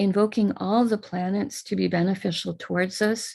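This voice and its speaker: In a quiet background, a woman with an American accent speaks at a moderate pace. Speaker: spiritual teacher leading puja. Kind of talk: live online ritual instruction.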